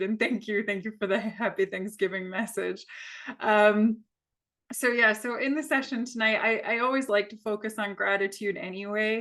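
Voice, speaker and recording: With an American accent, a woman speaks at a moderate pace in a fairly high pitch and fairly even intonation over a quiet background. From United States. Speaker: yoga teacher. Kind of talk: guided yoga class. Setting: video call. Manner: hesitant, many fillers.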